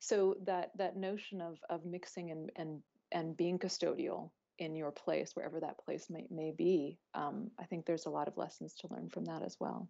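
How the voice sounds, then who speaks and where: In a Southwestern US accent, a woman speaks at a moderate pace with a dark, mellow tone. Her intonation is fairly even, with vocal fry. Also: fairly low pitch for a woman. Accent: US Southwest American. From US Southwest. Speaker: academic panelist. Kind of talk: panel discussion. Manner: halting with many fillers.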